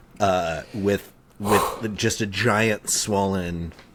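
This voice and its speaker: A man with a very deep, low pitch speaks at a very slow pace with fairly even intonation over noticeable background noise. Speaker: podcast co-host. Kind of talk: casual chat.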